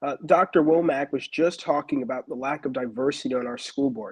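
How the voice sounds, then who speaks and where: Using an ordinary speaking voice, a man speaks at a fairly quick pace and fairly high pitch. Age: young. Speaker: school board candidate. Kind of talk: interview. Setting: live stream.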